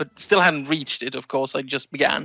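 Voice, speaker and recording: A man with a fairly high pitch, with music in the background. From Sweden. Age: 20s. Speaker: new podcast co-host. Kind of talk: casual interview chat. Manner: halting, many fillers.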